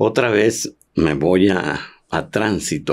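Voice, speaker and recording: This man speaks at a fairly low pitch. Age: 70s. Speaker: former professional footballer. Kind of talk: interview conversation.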